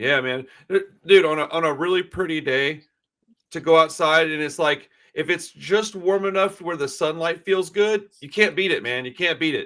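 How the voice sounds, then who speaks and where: A man speaks at a moderate pace in a high voice with a bright, sharp tone and ordinary pitch variation. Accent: American. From USA. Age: 40s. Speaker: podcast host. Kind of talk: casual interview.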